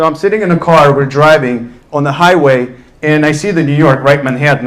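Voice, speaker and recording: Fairly high male voice at a very fast pace, fairly even intonation, audible room echo and noticeable background noise. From Russia, Ufa. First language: Russian. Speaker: entrepreneur on a panel. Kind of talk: panel talk, personal story.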